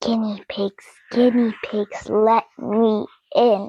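A female-sounding voice does a put-on character voice at a fairly high pitch for a woman. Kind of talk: sly, demanding. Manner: menacing.

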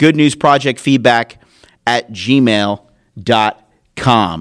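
A man speaks with an American accent. The recording is very clean and silent in the background, with a dry, close sound and no echo. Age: 40s. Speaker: podcast host, former sports talk radio host. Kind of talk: solo podcast commentary. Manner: animated.

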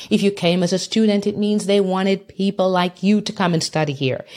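This woman has a non-native accent and a medium pitch. She talks at a moderate pace. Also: very clean recording, silent background. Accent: non-Canadian foreign. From immigrant to Canada from abroad. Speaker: podcast host and leadership coach. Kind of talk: solo podcast monologue. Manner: motivational, encouraging.

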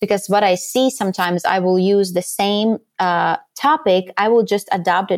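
This woman speaks with a Latvian accent. Her pitch sits in the middle range. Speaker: podcast guesting strategist. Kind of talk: interview.

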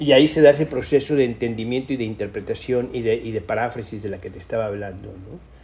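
Here a man speaks at medium pitch. He has a plain, everyday voice. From Mexico. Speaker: cinematographer. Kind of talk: interview.

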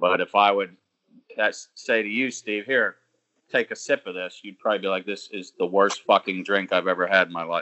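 Loudness swings a lot as a man with a fairly low pitch and fairly even intonation talks in an unremarkable speaking voice. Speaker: podcast co-host. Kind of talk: casual banter about NFL draft.

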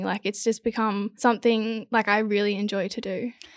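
Speaking at a fairly quick pace with an Australian accent, a woman's fairly high voice comes through dry and close with no echo, on a very clean recording with a silent background. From Australia, Gold Coast. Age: 20s. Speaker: model and influencer. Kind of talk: casual chat.

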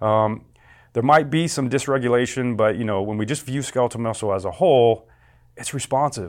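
A man with an ordinary speaking voice talks at a medium pitch and a fairly quick pace. The recording is very clean, with a silent background. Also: ordinary pitch variation. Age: 40s. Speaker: exercise physiology professor. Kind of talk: interview.

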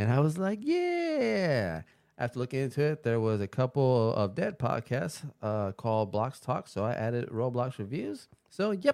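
Heard in a very clean recording with a silent background, a man with a normal speaking voice, a medium pitch and lively intonation talks at a moderate pace. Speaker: podcast host. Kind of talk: casual chat.

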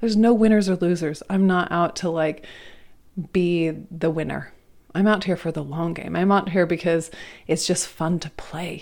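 In a fairly low pitch, a woman talks at a moderate pace with an animated tone. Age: 40s. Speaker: yoga teacher and podcast host. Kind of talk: solo podcast monologue.

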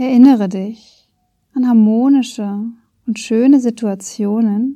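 Very slow and calm, a woman speaks in a dark, mellow tone at a fairly high pitch with fairly even intonation. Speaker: podcast host and meditation guide. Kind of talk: guided meditation. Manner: slow, calm, soft-spoken, with long pauses; gentle, soothing, warm.

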